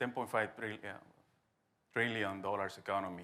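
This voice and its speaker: A man with a Spanish accent speaks in a bright, sharp tone. Room echo is audible. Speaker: business association president. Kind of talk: conference talk.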